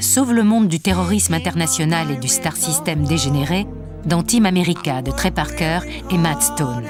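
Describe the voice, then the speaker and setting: A woman at a moderate pace and very even loudness, with music in the background. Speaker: narrator. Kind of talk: documentary narration.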